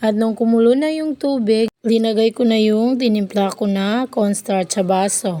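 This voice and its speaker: A woman speaks in a fairly high pitch with a dark, mellow tone. Her pace is fairly slow, with hardly any pauses. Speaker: vlogger. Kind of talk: cooking vlog voice-over. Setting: voice-over. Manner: low-energy, flat.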